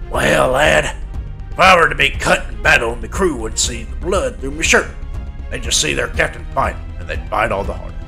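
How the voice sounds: Clear music plays in the background as a woman performs a raspy, put-on character voice at a moderate pace.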